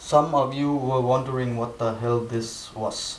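In a room with audible echo, a man with a Danish accent talks at a medium pitch in a flat monotone and at a very slow pace. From Denmark. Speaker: vlogger and portrait artist; portrait artist vlogger. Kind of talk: casual vlog; casual vlog chat. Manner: halting, many fillers and repetitions. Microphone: camera far.

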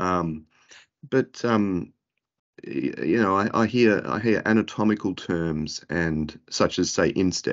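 With an Australian accent, a man speaks at a very deep, low pitch. The background is quiet. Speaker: podiatrist. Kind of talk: interview. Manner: halting. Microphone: earbuds.

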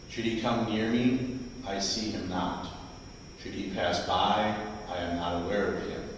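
A man with a fairly low voice speaks at a fairly slow pace, leaving long, frequent pauses. The room echo is strong, and there is light background noise. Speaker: lector. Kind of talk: scripture reading and fervent prayer. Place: church.

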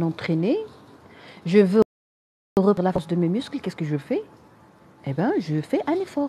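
This woman's voice has a dark, mellow tone, is somewhat breathy and fairly low, with lively intonation and a Moroccan accent. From Morocco. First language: Arabic (speaking French). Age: 30s. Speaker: general practitioner and online health creator. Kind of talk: live-stream talk answering viewer comments.

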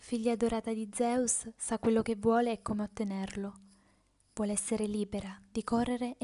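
With an intense tone, a woman speaks at a moderate pace in a fairly high, somewhat breathy voice, her intonation monotone and flat. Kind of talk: dramatic first-person narration, theatrical monologue. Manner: intense, emotive, with pauses; declamatory, rhythmic, building.

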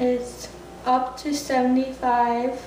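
In a room with audible echo, a woman talks in a fairly high-pitched voice with a slightly mellow tone.

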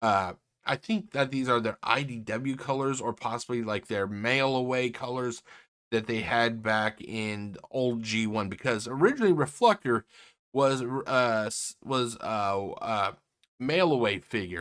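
A man talks at a fairly slow pace with ordinary pitch variation against a quiet background. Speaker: toy reviewer. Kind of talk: casual vlog chat. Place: home room. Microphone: webcam.

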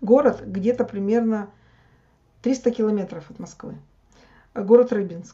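A woman speaks at a very slow pace with long, frequent pauses. Her fairly high voice keeps a fairly even intonation against a quiet background. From Russia. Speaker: YouTube blogger. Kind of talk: casual chat. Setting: video call. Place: home room. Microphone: video call.

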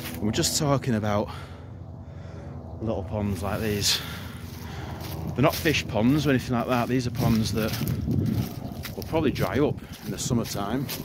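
Amid loud background noise, a man speaks at a moderate pace with ordinary pitch variation and long, frequent pauses. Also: dry sound with no echo. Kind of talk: casual vlog tutorial. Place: open country. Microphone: phone near.

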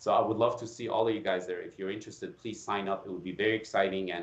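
A man with an American accent at a very fast pace, fairly low in pitch with ordinary pitch variation, amid audible room echo. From Iran. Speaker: facial plastic surgeon and anatomy educator; educator, podcast guest. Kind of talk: interview. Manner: halting, frequent repetitions. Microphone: video call.

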